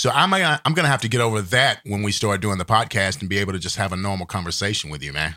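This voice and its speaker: A man's fairly low, bright and sharp voice at a very fast pace, with lively intonation, hardly any pauses and a very clean recording against a silent background. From Texas. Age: 50s. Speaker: podcast co-host. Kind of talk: casual chat.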